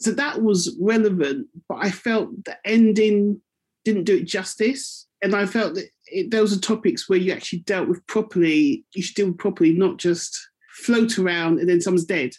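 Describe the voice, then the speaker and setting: Using a plain, everyday voice, a woman talks at a moderate pace and medium pitch with lively intonation, on a very clean recording with a silent background. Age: 40s. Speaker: community radio presenter. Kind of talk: book club discussion.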